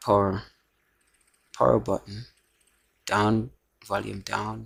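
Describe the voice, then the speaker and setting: The man's voice is quiet. He talks at a very slow pace. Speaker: phone repair tutorial maker. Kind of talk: tutorial. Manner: speaking quietly.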